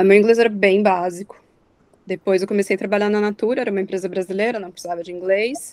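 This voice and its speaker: A normal speaking voice with fairly even intonation, dry and close with no echo. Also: woman. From Brazil. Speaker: alumna, sustainability professional. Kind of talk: online talk to students. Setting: video call.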